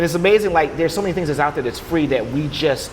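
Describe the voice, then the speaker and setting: A man's fairly high voice with ordinary pitch variation, against noticeable background noise. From Louisiana. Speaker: HR professional. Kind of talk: podcast interview. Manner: fast; animated.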